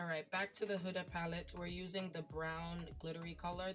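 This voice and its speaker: Over music in the background, a woman talks at a fairly quick pace in a fairly low voice. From Jamaica. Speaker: beauty YouTuber. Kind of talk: makeup tutorial voiceover. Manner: casual, chatty.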